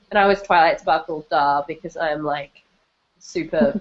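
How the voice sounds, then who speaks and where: This woman has an unremarkable speaking voice, fairly low in pitch. She talks at a moderate pace with fairly even intonation. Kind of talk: live-streamed casual chat. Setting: video call, live stream.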